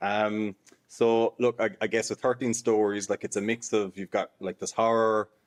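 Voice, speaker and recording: A man's medium-pitched, monotone, flat delivery in an Irish accent at a moderate pace. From Ireland. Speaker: horror author. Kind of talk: interview. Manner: halting.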